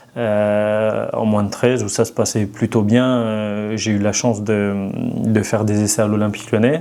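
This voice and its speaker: With noticeable background noise, a man speaks slowly in a fairly low, monotone, flat voice. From France, Ain (Oyonnax area). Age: 30s. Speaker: former pro footballer, coach. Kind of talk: podcast interview.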